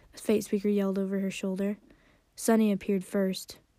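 A natural voice reading aloud.

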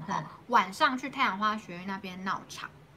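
Against noticeable background noise, a woman speaks fairly quickly at a medium pitch. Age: young. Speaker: city councillor, politician. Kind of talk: interview, casual chat.

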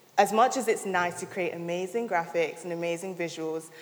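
Speaking at a moderate pace, a woman with a fairly low voice comes through over noticeable background noise. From London. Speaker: content creator. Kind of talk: talk to an audience.

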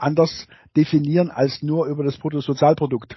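A man with a fairly high-pitched voice. His tone is somewhat breathy. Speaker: geography professor. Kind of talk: interview. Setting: video call. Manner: hesitant, many fillers and repetitions.

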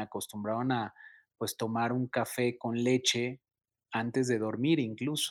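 Fairly slow speech from a man, medium in pitch. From Mexico City. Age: 30s. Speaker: sneaker influencer and entrepreneur. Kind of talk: casual interview. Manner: halting, many repetitions and fillers.

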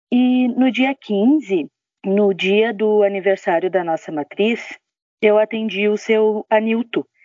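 Very even in loudness, the speech moves at a very slow pace with ordinary pitch variation. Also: woman. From Brazil, outside Santa Catarina. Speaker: retail sales consultant. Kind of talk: personal testimony. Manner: conversational, with fillers.

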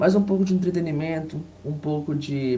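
A man with a fairly high voice speaks somewhat breathily and with fairly even intonation. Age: 20s. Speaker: football fan commentator. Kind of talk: casual chat.

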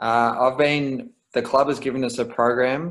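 A man with an Australian accent talks at a moderate pace with fairly even intonation in a very clean recording over a silent background. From Melbourne, Australia. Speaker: professional footballer. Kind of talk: casual interview. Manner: hesitant, many fillers.

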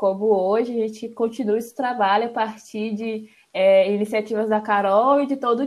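Here is a woman with a plain, everyday voice, fairly high in pitch and fairly even in intonation. The recording is very clean, with a silent background. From Brazil, Espírito Santo (Serra). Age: 20s. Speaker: environmental engineering student. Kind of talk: casual podcast conversation.

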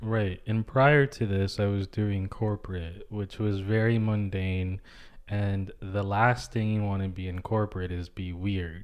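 Against a quiet background, a man with an American accent speaks in a normal speaking voice. His pitch is fairly low, his intonation fairly even, and his pace fairly slow. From New York City, Manhattan. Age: 20s. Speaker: actor and writer. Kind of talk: casual chat. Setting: at home.

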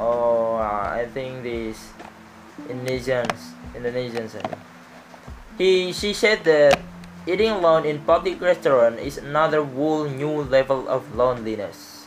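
Someone with a non-native accent speaks at a fairly slow pace, with long, frequent pauses. Noticeable background noise is present. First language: not English. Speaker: podcaster. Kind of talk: solo monologue. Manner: halting.

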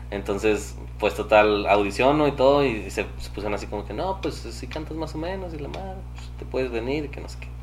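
Over noticeable background noise, a man with a very deep, low pitch talks at a fairly quick pace with lively intonation, hardly any pauses, and big swings in loudness. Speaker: musician and podcaster. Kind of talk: casual chat.

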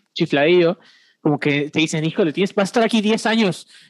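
Talking at a very fast pace and high pitch, a man shows ordinary pitch variation in a dry, close sound with no echo against a quiet background. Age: 20s. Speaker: regional youth movement coordinator. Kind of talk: casual chat.

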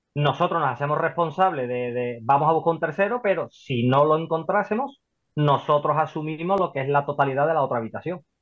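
A man with a fairly high pitch and ordinary pitch variation has an ordinary speaking voice. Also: fairly quick pace. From Spain, Seville. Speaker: property investor. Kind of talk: interview.

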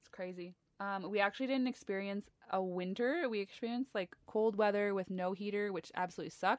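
A woman with an unremarkable speaking voice talks at a fairly quick pace and medium pitch in a Canadian accent. Her pitch varies in an ordinary way, her loudness swings widely, and the sound is dry and close with no echo. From Ontario, Canada. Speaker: podcast co-host, yoga teacher. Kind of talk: casual chat.

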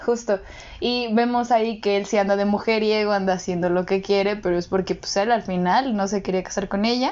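In a normal speaking voice, a woman talks at a fairly quick pace with a medium pitch. Her loudness is very even, and her intonation is fairly even. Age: 20s. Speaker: podcast co-host, psychology side. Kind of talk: casual chat.

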